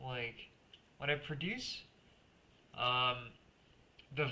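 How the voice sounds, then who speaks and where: In a soft-spoken manner, a man uses a bright, sharp tone at medium pitch and a fairly slow pace with light background noise. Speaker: music producer streamer. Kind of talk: live stream casual talk. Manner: halting.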